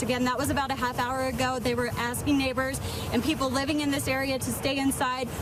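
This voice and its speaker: A woman speaks at a high pitch with monotone, flat intonation. Music plays in the background. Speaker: TV news anchor and reporter. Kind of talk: live field reporting.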